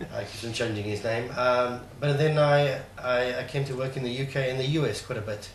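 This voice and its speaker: A man talks at medium pitch and a fairly quick pace, with fairly even intonation and hardly any pauses. Audible room echo and noticeable background noise are present. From South Africa. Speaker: trading course attendee. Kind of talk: interview. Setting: studio. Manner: halting.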